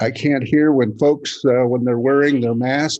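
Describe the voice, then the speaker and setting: Against a quiet background, a man with an American accent speaks in a medium pitch and a dark, mellow tone with fairly even intonation. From Kansas, US Midwest. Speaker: funeral home owner. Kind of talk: public comment at city meeting. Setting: city commission meeting room.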